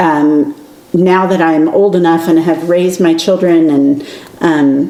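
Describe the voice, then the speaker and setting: A woman speaks at a fairly slow pace in a fairly low pitch, with monotone, flat intonation and very even loudness, while noticeable background noise and audible room echo fill the recording. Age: 50s. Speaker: podcast co-host, aspiring writer. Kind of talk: casual chat.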